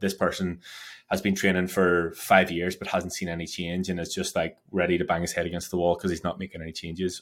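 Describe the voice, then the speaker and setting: In an Irish accent, a man with a very deep, low voice talks at a fairly quick pace in a flat monotone, on a very clean recording with a silent background. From Ireland. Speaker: personal trainer. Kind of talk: interview.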